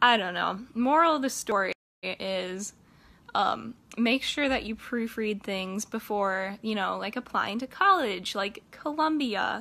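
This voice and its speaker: With an American accent, this speaker talks at a fairly slow pace in a bright, sharp tone with lively intonation. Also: woman, fairly high pitch for a woman. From US Midwest (Independence, Iowa); Iowa. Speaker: college student. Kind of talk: casual vlog. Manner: casual, upbeat. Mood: warm, friendly. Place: home room. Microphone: phone near.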